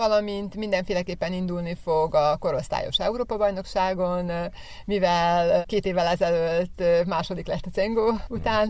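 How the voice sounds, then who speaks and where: A woman with an unremarkable speaking voice talks at a medium pitch, fairly slowly and with fairly even intonation. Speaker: athletics coach, athlete's mother. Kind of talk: radio interview.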